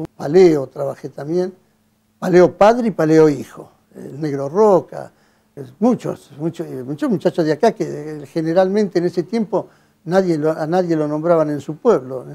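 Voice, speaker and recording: A man talks at a moderate pace with ordinary pitch variation. His voice is fairly high in pitch, with a dark, mellow tone. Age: 80s+. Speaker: retired bank employee. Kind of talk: interview. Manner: halting, many fillers and restarts.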